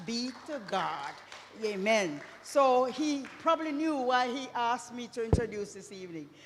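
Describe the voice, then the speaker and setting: The voice moves fairly slowly with lively intonation and big swings in loudness. Noticeable background noise and audible room echo fill the recording. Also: woman. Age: 70s. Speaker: church member introducing speaker. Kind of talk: church program introduction. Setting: church.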